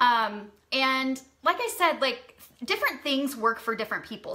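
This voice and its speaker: Raised and projected, a woman's high-pitched voice carries a bright, sharp tone with ordinary pitch variation. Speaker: social media marketing coach. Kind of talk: Q&A livestream.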